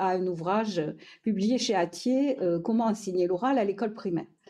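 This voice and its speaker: A woman's medium-pitched voice in a Toulouse accent, with a dark, mellow tone and ordinary pitch variation. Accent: southern French (Toulouse). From southern France, Toulouse. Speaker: education professor, researcher. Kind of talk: lecture. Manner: hesitant, many fillers.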